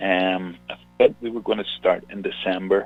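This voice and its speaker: Music plays in the background. Over it, a man speaks in a Northern Irish accent. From Northern Ireland. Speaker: singer-songwriter. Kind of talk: radio interview.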